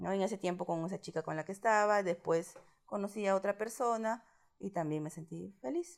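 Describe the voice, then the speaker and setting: A woman with an ordinary speaking voice talks at a medium pitch and a fairly quick pace, with ordinary pitch variation. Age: 30s. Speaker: interviewee sharing coming-out story. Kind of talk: personal testimony interview.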